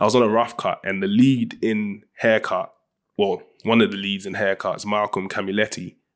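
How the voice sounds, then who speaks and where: A man with a South London accent talks at a moderate pace and a fairly low pitch, on a very clean recording with a silent background. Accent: South London multicultural London English. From South London (Ghanaian-British). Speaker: film director and writer. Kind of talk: casual interview chat. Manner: animated.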